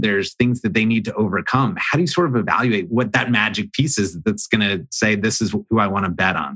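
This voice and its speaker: Here is a man with an ordinary speaking voice. His pitch varies in an ordinary way. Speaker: podcast host. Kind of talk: interview.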